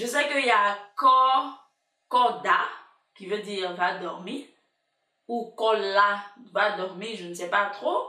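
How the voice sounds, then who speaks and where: A slow, very drawn-out woman's voice at medium pitch with ordinary pitch variation, long, frequent pauses, big swings in loudness, and audible room echo. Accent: Ivorian. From Ivory Coast, Abidjan. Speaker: YouTuber. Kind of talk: casual vlog chat. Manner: animated.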